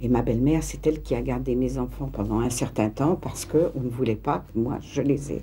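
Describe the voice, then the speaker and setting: A woman at a fairly quick pace, hardly any pauses, noticeable background noise behind her. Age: 60s. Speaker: interviewee, mother. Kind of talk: documentary interview testimony. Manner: halting, hesitant.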